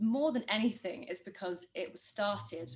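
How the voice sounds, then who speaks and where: This is a woman speaking. Her voice is somewhat breathy. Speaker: public speaking coordinator. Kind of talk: online talk. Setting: video call. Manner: pausing often.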